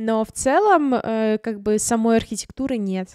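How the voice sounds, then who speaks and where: A plain, everyday voice with fairly even intonation sounds dry with no echo against a quiet background. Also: woman. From Ukraine, Crimea (Simferopol); Crimea, Ukraine. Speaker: vlogger and photographer; vlogger. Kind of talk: vlog monologue. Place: home room. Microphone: studio mic.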